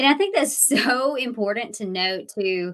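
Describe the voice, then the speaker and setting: An ordinary speaking voice with lively intonation. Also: woman. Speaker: podcast host. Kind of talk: casual interview chat.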